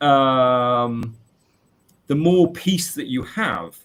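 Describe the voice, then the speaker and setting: A man with a British accent speaks with lively intonation. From UK. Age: 40s. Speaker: maths teacher. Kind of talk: interview. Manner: halting.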